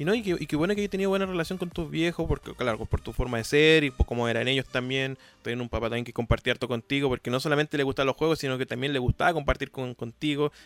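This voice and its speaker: Speaking at a very fast pace with hardly any pauses, a man uses a fairly high pitch. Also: ordinary pitch variation, dry, close sound with no echo. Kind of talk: casual interview.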